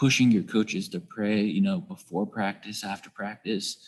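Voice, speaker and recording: Man with a normal speaking voice, medium in pitch, at a moderate pace. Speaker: athletic director. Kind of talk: casual discussion.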